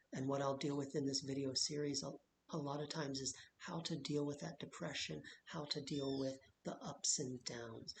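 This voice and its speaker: Soft-spoken and somewhat breathy, the voice moves at a moderate pace with monotone, flat intonation. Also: man. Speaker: vlogger sharing health experience. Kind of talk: personal vlog monologue. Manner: quiet, soft-spoken.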